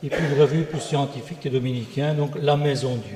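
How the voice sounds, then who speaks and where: A man with a Belgian accent at fairly high pitch, with noticeable background noise. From Belgium. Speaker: church organist and composer. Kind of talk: self-introduction on a panel.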